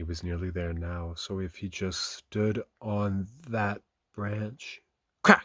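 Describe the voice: Over a quiet background, this is plain reading aloud with fairly even intonation.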